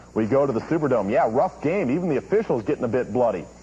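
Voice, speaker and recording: A man talks at a very fast pace with very wide pitch swings. Noticeable background noise is present. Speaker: sportscaster. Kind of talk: TV sports news highlights read. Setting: dubbed VHS tape audio.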